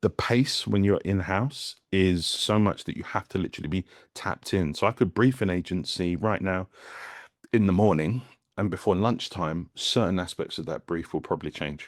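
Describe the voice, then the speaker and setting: A man with a very deep, low voice speaks at a moderate pace with ordinary pitch variation. The sound is dry and close with no echo, on a very clean recording with a silent background. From West Indies. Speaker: brand strategist. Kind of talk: community Q&A talk. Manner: halting, with false starts.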